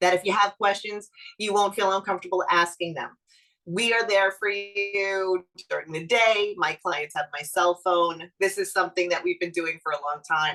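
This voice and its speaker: With a Brooklyn accent, a woman speaks at a medium pitch and moderate pace with fairly even intonation, music playing in the background. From Brooklyn, New York. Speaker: real estate lawyer. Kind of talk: webinar presentation.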